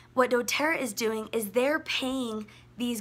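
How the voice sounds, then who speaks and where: The woman's pitch is fairly high. She speaks at a moderate pace with fairly even intonation. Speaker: wellness influencer. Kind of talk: live stream talk. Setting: Instagram live video.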